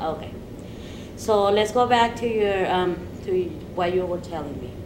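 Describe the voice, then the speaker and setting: A woman speaks at a moderate pace and medium pitch, with ordinary pitch variation and big swings in loudness. Audible room echo and noticeable background noise are present. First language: not English. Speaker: student counselor in role-play. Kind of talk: mock counseling interview. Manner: halting.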